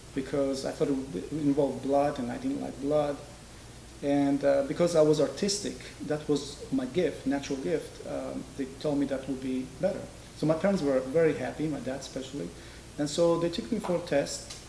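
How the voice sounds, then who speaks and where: There is audible room echo as a man speaks at a moderate pace in a fairly high voice with ordinary pitch variation. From Israel, born in Georgia. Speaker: master dental technician. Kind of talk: interview.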